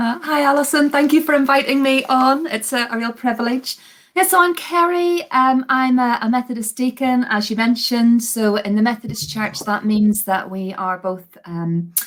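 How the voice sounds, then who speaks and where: A woman with a strong Belfast accent speaks in a high voice with lively intonation and hardly any pauses. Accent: Belfast accent, strong but slowed down. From Northern Ireland, Belfast. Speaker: Methodist deacon. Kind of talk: podcast interview.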